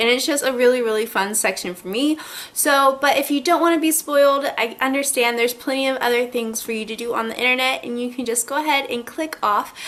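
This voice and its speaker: A woman with a high pitch talks at a very fast pace with hardly any pauses and ordinary pitch variation, over noticeable background noise. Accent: American. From Southern United States. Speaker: book reviewer. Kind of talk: casual talk to camera.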